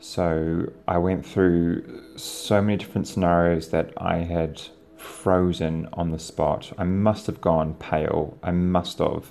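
Someone with a New Zealand accent speaks at a very slow pace in a monotone, flat intonation. Noticeable background noise is present. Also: man, very deep, low pitch for a man. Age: 30s. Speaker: podcaster. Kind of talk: personal storytelling.

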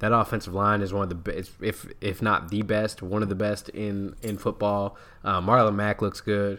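This man has a normal speaking voice with a fairly low pitch, at a moderate pace. The recording is very clean, with a silent background. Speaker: podcast host. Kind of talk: casual sports chat. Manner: casual, conversational.

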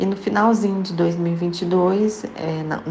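A woman with a Minas Gerais accent, medium-pitched and monotone with flat intonation, at a very slow pace amid audible room echo and noticeable background noise. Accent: Mineiro Brazilian Portuguese. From Minas Gerais, Brazil. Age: 30s. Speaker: candle maker and small business owner. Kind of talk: interview.

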